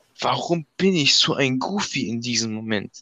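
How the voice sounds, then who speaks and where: This man talks at a moderate pace with a medium pitch and ordinary pitch variation. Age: young. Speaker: amateur football player. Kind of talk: casual chat. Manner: polite.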